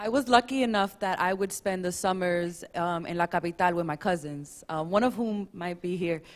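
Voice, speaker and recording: Hardly pausing, a woman talks at a moderate pace. Her pitch is medium, with ordinary variation. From US, Dominican American family. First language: Spanish. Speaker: panelist. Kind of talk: panel discussion.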